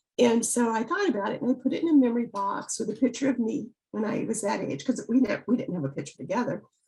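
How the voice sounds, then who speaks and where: A woman with an American accent and fairly high pitch speaks at a very fast pace with lively intonation. She leaves hardly any pauses. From US South, Biloxi, Mississippi. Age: 70s. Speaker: author. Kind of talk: interview.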